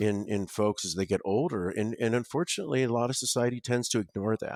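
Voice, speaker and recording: Recorded very cleanly against a silent background, with a dry, close sound and no echo, a man with an American accent speaks fairly quickly at a fairly low pitch and ordinary pitch variation. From Ohio, US. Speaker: home care business owner and nurse. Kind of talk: podcast interview. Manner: halting, many fillers and repeated words.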